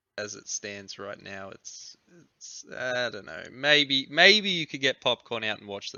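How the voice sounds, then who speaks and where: A man with an Australian accent speaks at a fairly slow pace in a medium pitch, his voice swinging very widely in pitch and making big jumps in loudness. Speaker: podcast host. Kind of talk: casual chat.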